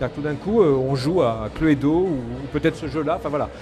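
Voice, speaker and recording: The man's delivery is very fast, and his pitch moves in an ordinary way. Behind him, music can be heard. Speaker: game technology developer. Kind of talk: panel discussion. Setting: stage with audience.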